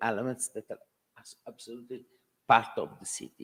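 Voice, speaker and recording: With an Italian accent, a man is talking. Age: 60s. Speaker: architect. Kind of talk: Q&A at a talk. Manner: halting.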